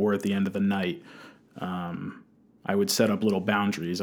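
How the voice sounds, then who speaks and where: A man speaks with an American accent in a fairly low pitch. He has a normal speaking voice and keeps a moderate pace. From New Jersey. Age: 20s. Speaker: college student and recovery specialist. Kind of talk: interview testimony.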